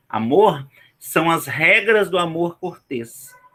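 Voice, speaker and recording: A man with a Brazilian accent and lively intonation. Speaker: teacher. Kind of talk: online lecture. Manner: casual, many fillers.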